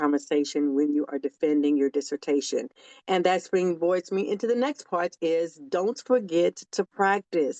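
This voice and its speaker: An ordinary speaking voice from a woman, fairly low in pitch with ordinary pitch variation, at a moderate pace over a quiet background. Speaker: educator giving academic tips. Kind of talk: instructional monologue to camera.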